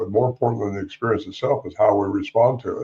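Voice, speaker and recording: Somewhat breathy, a man talks at a very fast pace in a dark, mellow tone with ordinary pitch variation. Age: 80s+. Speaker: Bigfoot researcher and author. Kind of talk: interview.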